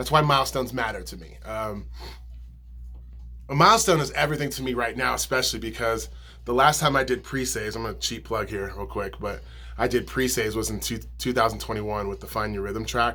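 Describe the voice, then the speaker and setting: Amid audible room echo, a man talks at a very fast pace with big swings in loudness. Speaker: musician and video blogger. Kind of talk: casual vlog monologue. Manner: mumbling; casual, many fillers.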